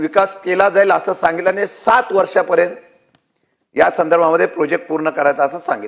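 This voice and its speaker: A man's high voice carries ordinary pitch variation as he talks. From Mumbai, Maharashtra (Mazgaon). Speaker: state legislator. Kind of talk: legislative floor speech. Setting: legislative assembly chamber.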